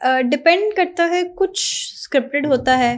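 A woman talks with very wide pitch swings. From Pakistan, Punjabi family. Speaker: TV co-host and actress; TV co-host, actress. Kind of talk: casual interview. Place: studio. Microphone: studio mic.

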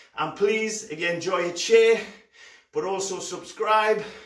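A man's high-pitched voice with audible room echo against a quiet background. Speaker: fitness coach. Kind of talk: workout instruction. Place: home room. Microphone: camera far.

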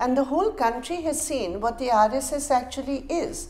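Over light background noise, a woman speaks at a moderate pace in a high voice. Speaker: party politician. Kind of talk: political statement. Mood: indignant, firm. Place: studio. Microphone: lapel.

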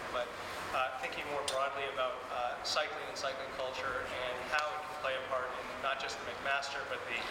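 A man speaks at a moderate pace amid loud background noise and audible room echo. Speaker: host, university teacher. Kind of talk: event introduction. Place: hall.

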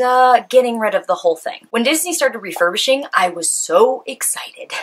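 A woman's high voice at a fairly quick pace, with very wide pitch swings. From California. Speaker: YouTuber. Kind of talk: casual vlog monologue. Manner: animated. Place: home room.

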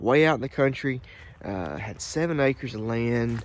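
A man speaks with ordinary pitch variation. The sound is dry with no echo, and light background noise is present. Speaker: vlogger. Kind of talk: casual vlog chat. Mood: relaxed, reflective storytelling. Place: open country. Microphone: phone near.

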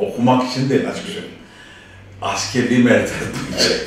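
Fairly quick speech in strong room echo, over light background noise. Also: man. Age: 60s. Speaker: auto mechanic and business owner; interviewee. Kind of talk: interview; interview answer. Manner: hesitant, many fillers. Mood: relaxed, candid. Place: office.

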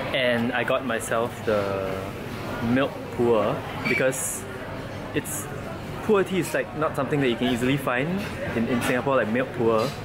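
A moderate pace with long, frequent pauses and ordinary pitch variation, crowd noise behind. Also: man. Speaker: vlogger. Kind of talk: casual vlog chat. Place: shop. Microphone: phone near.

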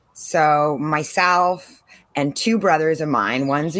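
A woman with an American accent speaks at a fairly slow pace in a very deep, low pitch. The background is quiet. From San Diego, California; California. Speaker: marine biologist and drone instructor; drone instructor. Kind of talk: casual interview chat. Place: garden. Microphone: video call.

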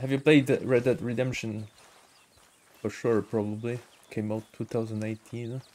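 With a non-native accent, a man speaks at a moderate pace, using fairly even intonation and long, frequent pauses. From Germany. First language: not English. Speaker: gaming streamer. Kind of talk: casual live-stream commentary. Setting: live stream. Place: home room.

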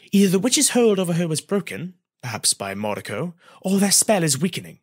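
A man puts on a high-pitched character voice with a slightly husky edge. He talks at a fairly quick pace, his pitch swinging a lot.

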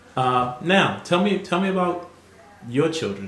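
A man's voice swings very widely in pitch, with audible room echo and light background noise. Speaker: family interviewer. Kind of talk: casual family interview. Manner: warm, hesitant with fillers. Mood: warm, fond, reminiscing. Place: home room.

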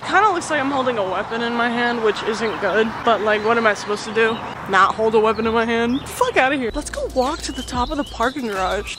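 A woman talks at a very fast pace, hardly pausing at all. Noticeable background noise sits under a dry sound with no echo. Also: ordinary pitch variation. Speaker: vlogger. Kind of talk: casual vlog chat. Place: street. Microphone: phone near.

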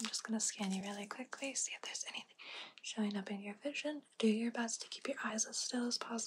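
A woman at a very fast pace with ordinary pitch variation over light background noise. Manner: soft, close-mic ASMR murmur.

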